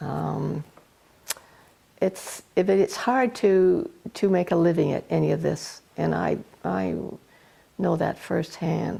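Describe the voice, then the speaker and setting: Long, frequent pauses break up a woman's speech, which moves at a very slow pace. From Ontario, Canada. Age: 70s. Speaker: magazine founder and publisher. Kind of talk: interview. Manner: hesitant, many fillers and restarts.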